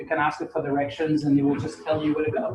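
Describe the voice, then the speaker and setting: With audible room echo and noticeable background noise, a man talks in a fairly high pitch and a monotone, flat intonation. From Portugal. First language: Portuguese. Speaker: university lecturer. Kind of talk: lecture. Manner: casual, conversational with fillers.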